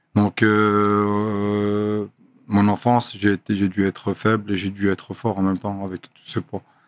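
The recording is dry with no echo as a man talks in a fairly low pitch with monotone, flat intonation. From Brussels, Belgium. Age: 30s. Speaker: professional boxer; podcast guest. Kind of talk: casual interview. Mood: calm, reflective. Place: studio. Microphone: studio mic.

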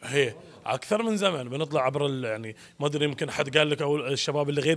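A man speaks at a fairly quick pace. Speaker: actor promoting a play. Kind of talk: interview answer. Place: hall. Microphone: handheld.

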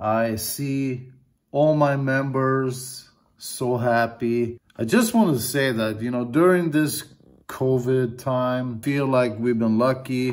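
Fairly even in intonation, a man talks at a very slow pace. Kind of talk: casual vlog chat. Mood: reflective, grateful. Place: home room. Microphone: phone near.

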